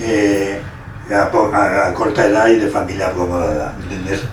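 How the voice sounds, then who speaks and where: Through audible room echo and noticeable background noise, a man speaks at a fairly low pitch. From Spain, Valencia region (Buñol). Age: 70s. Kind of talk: casual interview reminiscence. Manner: halting, many restarts.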